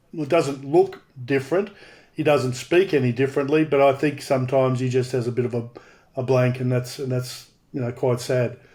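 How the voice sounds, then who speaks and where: Here is a man with an Australian accent, a medium pitch and a dark, mellow tone that is somewhat breathy. He talks at a fairly quick pace with fairly even intonation. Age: 60s. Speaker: former rugby league player and TV personality. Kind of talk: casual chat. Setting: video call.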